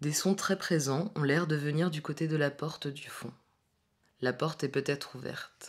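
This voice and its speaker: In a very clean recording over a silent background, a woman speaks with a very deep, low pitch. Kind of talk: art installation spoken description. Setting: loudspeaker in empty room. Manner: monotone.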